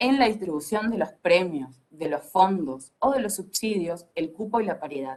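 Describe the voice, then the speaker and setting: A woman with a plain, everyday voice, medium pitch, lively intonation, moderate pace and hardly any pauses. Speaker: film industry panelist. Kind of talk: panel discussion.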